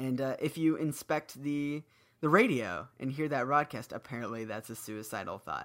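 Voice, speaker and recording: A man's fairly high voice, an unremarkable speaking voice, at a moderate pace with ordinary pitch variation, in a very clean recording over a silent background. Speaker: podcast co-host, musician. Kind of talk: casual chat.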